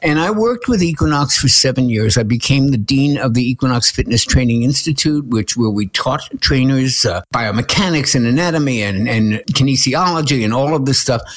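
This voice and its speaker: A man speaks at a fairly quick pace with hardly any pauses, his medium-pitched voice carrying an animated tone. His loudness stays very even over noticeable background noise. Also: ordinary pitch variation. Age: 70s. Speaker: nutritionist and author. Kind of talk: interview conversation.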